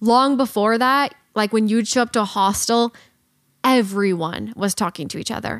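A woman talks in a normal speaking voice with ordinary pitch variation. The recording is very clean, with a silent background. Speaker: podcast host and van life YouTuber. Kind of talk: casual chat. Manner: fast talker.

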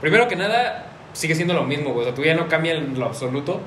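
A man with a Mexican accent at a very fast pace, ordinary pitch variation, audible room echo and noticeable background noise. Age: 20s. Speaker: car content creator and podcast host. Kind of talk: casual chat.

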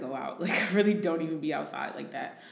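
With an American accent, a woman speaks at a fairly low pitch with ordinary pitch variation, amid audible room echo and noticeable background noise. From New Jersey. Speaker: recruiter. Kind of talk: casual chat.

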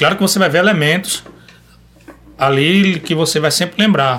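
This man can be heard talking with noticeable background noise around him. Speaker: singer-songwriter and rabeca player. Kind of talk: casual chat. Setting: studio.

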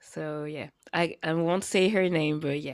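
With a French accent, a woman speaks at a fairly low pitch and with fairly even intonation. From France. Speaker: podcast co-host. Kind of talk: casual chat. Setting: at home.

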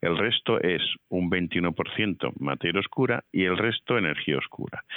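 Very deep and low, a man's voice shows ordinary pitch variation. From Madrid, Spain. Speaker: physics professor. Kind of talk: interview. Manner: halting, with fillers.

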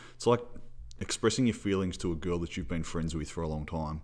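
Over a silent background in a very clean recording, a man with an Australian accent speaks in a very deep, low pitch. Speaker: football podcast host. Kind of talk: casual sports chat, match review.

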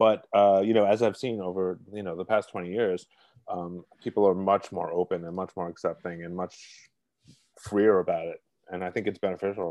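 A man talks with a Brooklyn accent in a very deep, low, dark and mellow voice. His delivery is monotone and flat at a moderate pace, against a quiet background. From Brooklyn, New York. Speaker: columnist and cookbook author. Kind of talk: casual interview. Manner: halting, many repetitions and fillers.

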